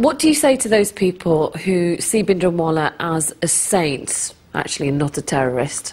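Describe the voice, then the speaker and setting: In a normal speaking voice, a woman talks at a moderate pace and fairly low pitch with lively intonation and hardly any pauses. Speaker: documentary presenter. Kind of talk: documentary narration and interview questions.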